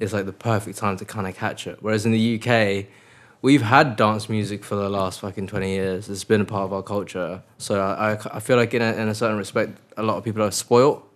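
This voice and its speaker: In a very clean recording with a silent background, a speaker with an English accent moves at a fairly quick pace with fairly even intonation. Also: man, fairly low pitch for a man. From England (moved from Mongolia at six). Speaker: DJ and music producer. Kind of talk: casual interview chat.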